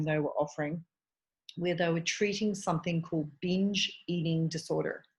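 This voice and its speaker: In a quiet background, a woman with an Australian accent speaks in a fairly low, somewhat breathy voice with fairly even intonation. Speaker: eating disorder dietitian. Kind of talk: podcast interview.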